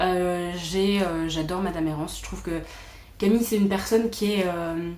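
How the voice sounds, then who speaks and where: A woman's fairly low voice at a moderate pace, with fairly even intonation, audible room echo and noticeable background noise. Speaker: booktuber. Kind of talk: casual chat.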